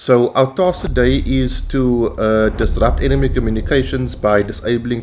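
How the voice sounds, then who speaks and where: A man with a South African accent at a fairly slow pace, against noticeable background noise. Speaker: gaming YouTuber. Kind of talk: gameplay commentary. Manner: casual with frequent fillers.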